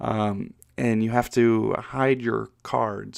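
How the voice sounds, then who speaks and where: The recording is very clean, with a silent background. A man speaks with a New Jersey accent. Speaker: podcast host, board game designer. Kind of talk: solo podcast monologue. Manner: halting, many fillers and repetitions.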